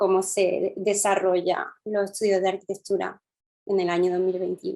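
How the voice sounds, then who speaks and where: A woman with a dark, mellow tone speaks at a medium pitch and moderate pace. Her intonation is flat and monotone, and her loudness is very even. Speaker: interviewer, architect. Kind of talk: interview.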